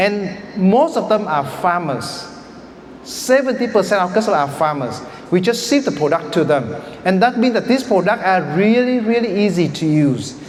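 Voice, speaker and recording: A man with a Vietnamese accent speaks at a moderate pace in a high pitch with very wide pitch swings. Noticeable background noise and audible room echo are present. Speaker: startup founder. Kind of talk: pitch presentation.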